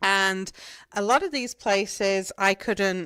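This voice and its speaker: Speaking very slowly with an English accent and ordinary pitch variation, a woman comes through dry and close with no echo on a very clean recording against a silent background. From England. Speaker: gardening podcaster. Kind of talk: podcast monologue, answering questions. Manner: casual, chatty with fillers.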